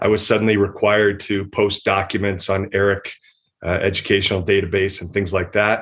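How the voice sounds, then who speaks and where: A man with an American accent speaks at a fairly low pitch in a monotone, flat intonation against a quiet background. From US Midwest, rural. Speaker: founder of a travel company and foundation. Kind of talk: interview.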